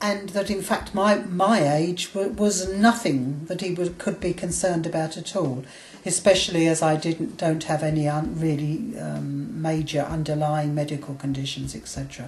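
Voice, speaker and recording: A woman with an English accent speaks at a fairly low pitch, with hardly any pauses. There is noticeable background noise and audible room echo. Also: ordinary pitch variation, moderate pace. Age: 60s. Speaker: vlogger, weight loss surgery patient. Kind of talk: video diary. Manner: halting.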